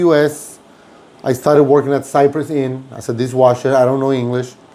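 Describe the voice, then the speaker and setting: A man with a Mexican accent speaks at a fairly quick pace in a fairly high pitch. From Mexico. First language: Spanish. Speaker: restaurant owner and podcast host. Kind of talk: casual interview chat. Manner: animated storytelling.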